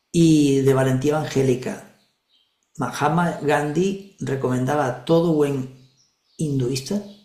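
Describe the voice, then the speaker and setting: A man's fairly high, somewhat breathy voice carries a dark, mellow tone and ordinary pitch variation, with audible room echo around it. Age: 60s. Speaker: regression therapist and spiritual teacher. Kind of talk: spiritual talk in an online group session.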